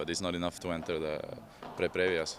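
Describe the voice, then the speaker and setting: At a fairly quick pace, a man with a Norwegian accent speaks in a very deep, low pitch with monotone, flat intonation. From Norway, Oslo. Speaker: padel player, former tennis pro. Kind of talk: interview. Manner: conversational, with hesitations and repetitions.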